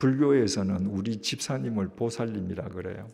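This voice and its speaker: A man talks at a fairly slow pace with vocal fry and a dark, mellow tone. His pitch variation is ordinary. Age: 70s. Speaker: pastor. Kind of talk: sermon.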